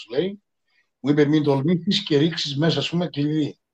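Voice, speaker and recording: A fairly high-pitched man with a plain, everyday voice and ordinary pitch variation. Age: 50s. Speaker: podcast co-host. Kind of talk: casual chat.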